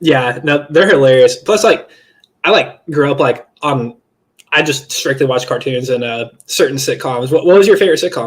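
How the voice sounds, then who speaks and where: Fairly high in pitch, a man's voice comes across somewhat breathy. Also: ordinary pitch variation, moderate pace. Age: 20s. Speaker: interviewer. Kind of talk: casual chat.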